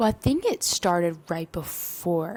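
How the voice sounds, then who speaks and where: Very slowly and quietly, a woman whispers. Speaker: mother and vlogger. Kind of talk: testimony. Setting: at home. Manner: whispering, quiet.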